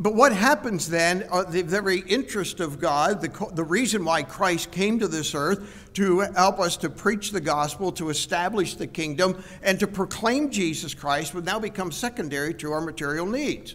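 A man with a high pitch, a moderate pace and ordinary pitch variation. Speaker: preacher. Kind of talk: sermon. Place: church. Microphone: headset.

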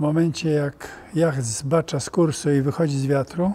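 A man speaks with a fairly high pitch and a dark, mellow tone that is somewhat breathy. His pace is fairly slow and his intonation fairly even. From Poland. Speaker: sailor, yacht captain. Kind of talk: interview answer, explaining on a yacht. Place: hall.

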